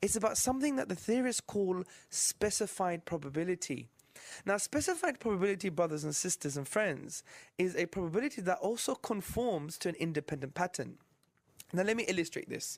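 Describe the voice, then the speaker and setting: A man with a British accent speaks at a fairly quick pace in a high pitch with lively intonation, on a very clean recording with a silent background. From UK. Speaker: Islamic apologist presenter. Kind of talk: religious lecture. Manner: stutters slightly.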